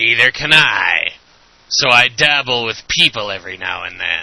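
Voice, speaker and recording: At a moderate pace, a man uses a raspy, put-on character voice at a medium pitch, with big swings in loudness. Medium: audio drama. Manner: hesitant, giggly, umming.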